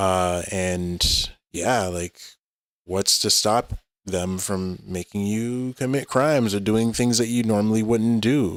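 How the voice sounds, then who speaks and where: In a very clean recording with a silent background, a man with a Canadian accent speaks very slowly in a fairly low pitch with ordinary pitch variation. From Canada. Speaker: gaming streamer. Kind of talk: casual live-stream chat. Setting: live stream. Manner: halting, many fillers and repeats.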